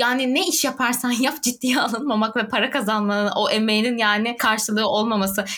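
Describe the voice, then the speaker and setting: A woman talks fairly quickly at a fairly high pitch against noticeable background noise. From southern Turkey (Adana, Antakya). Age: 20s. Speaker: youth NGO volunteer and podcast co-host. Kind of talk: casual chat.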